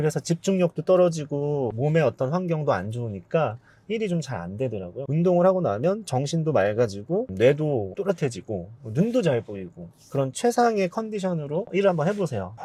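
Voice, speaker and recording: At a moderate pace, a man with a fairly high pitch and a somewhat breathy sound speaks with very wide pitch swings. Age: 40s. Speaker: business owner, content creator. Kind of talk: interview.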